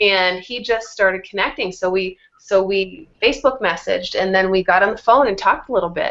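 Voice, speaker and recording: Talking at a fairly quick pace with hardly any pauses, a woman uses an ordinary speaking voice at a medium pitch with ordinary pitch variation. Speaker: fitness coach. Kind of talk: tutorial.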